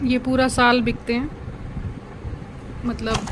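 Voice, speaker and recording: A woman's high voice comes through with noticeable background noise behind it. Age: 50s. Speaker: cosmetics shop owner, vlogger. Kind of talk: product showcase vlog. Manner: casual, conversational.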